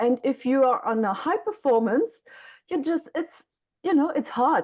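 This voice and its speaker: A woman with a German accent speaks at a high pitch with very wide pitch swings. The background is quiet. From Germany. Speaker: mentor for young mothers. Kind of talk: interview. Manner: halting.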